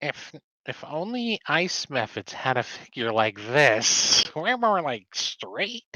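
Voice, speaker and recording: In a put-on character voice, a man talks at a fairly slow pace, his fairly high pitch making very wide swings. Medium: actual play. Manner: excitable, easily startled.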